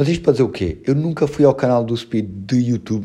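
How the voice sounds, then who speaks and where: A man with a European Portuguese accent, medium pitch and a dark, mellow tone, at a moderate pace with ordinary pitch variation. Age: 20s. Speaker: podcast host and musician. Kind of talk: casual chat. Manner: animated.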